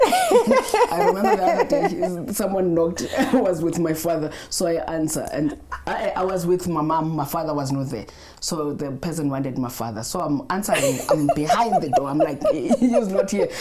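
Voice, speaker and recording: Amid noticeable background noise, a woman with a fairly low pitch speaks at a moderate pace, her voice making very wide pitch swings. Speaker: podcast host. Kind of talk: casual interview.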